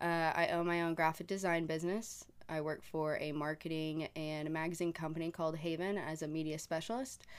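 A woman with an American accent talks fairly quickly in a fairly low pitch with fairly even intonation. The recording is very clean, with a silent background. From Oklahoma, Tulsa. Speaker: graphic designer and marketing manager. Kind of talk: casual chat.

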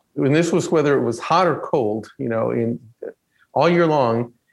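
This is a man with a normal speaking voice. His pitch is fairly high, with ordinary variation. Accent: American. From Texas (Stafford, near Houston). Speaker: Episcopal priest, church ministry director. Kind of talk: conversational interview, personal testimony.

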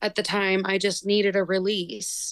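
A woman of medium pitch is heard with a dry, close sound and no echo. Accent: American. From United States. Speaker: lead singer of a band. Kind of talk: casual interview.

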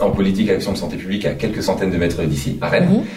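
A man's very deep, low voice at a very fast pace, with noticeable background noise and audible room echo. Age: 30s. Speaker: physiotherapist and union president. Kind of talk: studio interview. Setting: live at a conference venue. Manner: halting, many repetitions.

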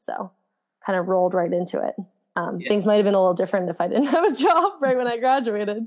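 A woman with an American accent speaks at a very fast pace. Her intonation is lively. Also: medium pitch for a woman. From New Jersey, US. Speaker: professional runner. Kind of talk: casual interview.

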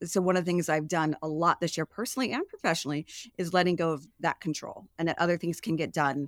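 A woman with a fairly low voice speaks at a very fast pace with ordinary pitch variation, recorded very cleanly against a silent background in a dry, close sound with no echo. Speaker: podcast host. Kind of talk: panel discussion.

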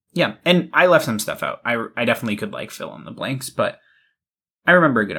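A man with an American accent at a very fast pace, with big swings in loudness, on a very clean recording with a silent background. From Massachusetts, US. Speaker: podcast co-host. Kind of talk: casual chat.

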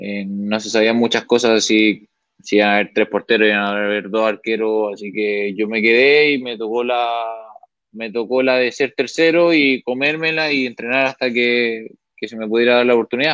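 This is an unremarkable speaking voice at a moderate pace, with ordinary pitch variation. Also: man, medium pitch for a man. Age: 20s. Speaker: professional football goalkeeper. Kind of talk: interview.

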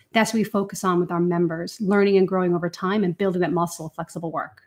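A woman speaks in an Irish accent. The recording is very clean, with a silent background. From west of Ireland. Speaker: founder and CEO. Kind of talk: interview conversation about work.

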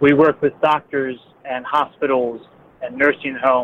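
Moderately paced male speech over noticeable background noise. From northern Baltimore County, Maryland. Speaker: state legislature candidate, ambulance company owner. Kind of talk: interview.

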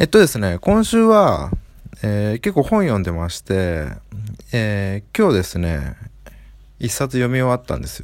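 Recorded very cleanly against a silent background, a man speaks in a relaxed tone. He keeps a moderate pace with long, frequent pauses. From Japan, Aichi. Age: 30s. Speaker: book podcaster. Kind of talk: casual monologue. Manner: relaxed, filler-heavy.

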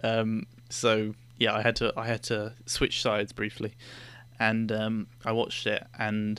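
Very slowly, a man with a British accent speaks at a medium pitch in a bright, sharp tone on a very clean recording with a silent background. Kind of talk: casual chat. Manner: soft-spoken.

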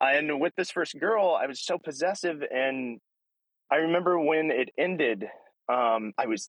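A man with lively intonation. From Alaska and various US states. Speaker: guest speaking about mental illness and addiction recovery. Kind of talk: personal testimony in casual chat. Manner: halting, many fillers.

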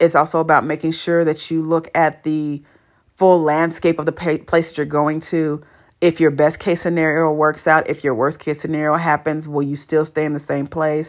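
A woman with an American accent speaks at a moderate pace in a very deep, low voice and a flat monotone, on a very clean recording with a silent background. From California. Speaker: podcast host. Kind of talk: solo podcast monologue. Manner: casual, laughs often.

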